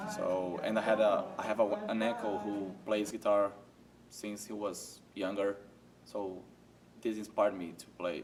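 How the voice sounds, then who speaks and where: Amid noticeable background noise, a man with a Portuguese accent and fairly low pitch talks at a fairly slow pace in a monotone, flat intonation, with big swings in loudness and long, frequent pauses. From Brazil. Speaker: college student, guitarist. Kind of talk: interview. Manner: halting.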